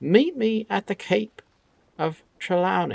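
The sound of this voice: Using a put-on character voice, a man speaks shrill and high at a fairly slow pace in a dry, close sound with no echo.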